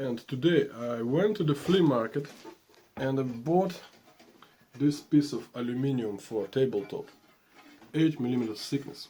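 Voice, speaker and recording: This speaker has a non-native accent and a dark, mellow tone, keeping a moderate pace with ordinary pitch variation and long, frequent pauses. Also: man, medium pitch for a man. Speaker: woodworking vlogger. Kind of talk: casual vlog. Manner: halting, with many fillers.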